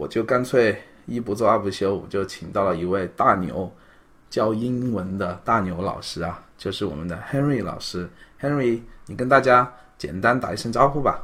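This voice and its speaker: With ordinary pitch variation, a man speaks at medium pitch in an ordinary speaking voice. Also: moderate pace. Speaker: podcast host. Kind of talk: casual interview; scripted intro.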